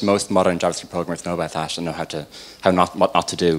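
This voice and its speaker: A man talks with an Irish accent. His intonation stays fairly even. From Ireland. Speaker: software developer. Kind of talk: tech talk. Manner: fast.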